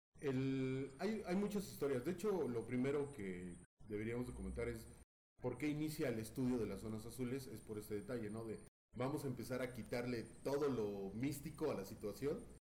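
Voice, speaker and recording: Speaking at a moderate pace with lively intonation, the voice carries audible room echo. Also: man, medium pitch for a man. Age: 40s. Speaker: podcast host. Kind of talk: casual chat.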